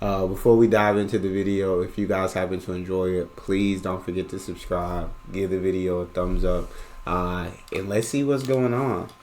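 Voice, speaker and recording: This man speaks with an American accent in a very deep, low pitch, at a moderate pace. His intonation stays fairly even, and the room has audible echo. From United States. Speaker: reaction video host. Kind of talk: casual reaction commentary.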